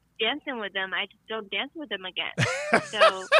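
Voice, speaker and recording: A woman speaks with a Chinese accent in a bright, sharp tone. Her pitch varies in an ordinary way, and the sound is dry and close with no echo. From China. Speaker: guest interviewed about tango. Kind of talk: casual interview chat. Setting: phone call.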